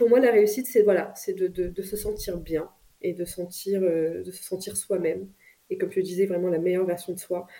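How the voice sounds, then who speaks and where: A woman with a dark, mellow tone and medium pitch talks at a moderate pace, with fairly even intonation but big swings in loudness. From France. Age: 30s. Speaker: business executive. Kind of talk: interview. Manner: halting.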